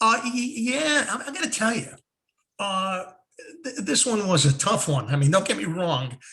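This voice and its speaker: With a raised, projected voice and a bright, sharp tone, a man speaks at a high pitch. His pace is moderate and his pitch swings very widely. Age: 60s. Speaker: former radio host, online show co-host. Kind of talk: casual chat. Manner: halting, repeats words.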